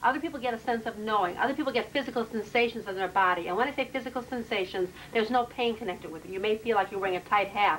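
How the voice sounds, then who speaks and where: Noticeable background noise accompanies a woman with a fairly high pitch. She speaks very fast with hardly any pauses and ordinary pitch variation. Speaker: past life regression therapist. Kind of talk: explanatory interview with client. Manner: loud.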